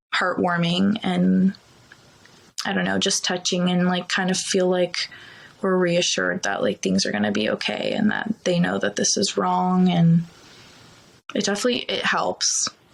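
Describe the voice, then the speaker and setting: Long, frequent pauses from a woman speaking at a moderate pace. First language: Ukrainian. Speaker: TV news producer. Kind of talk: casual chat. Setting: podcast.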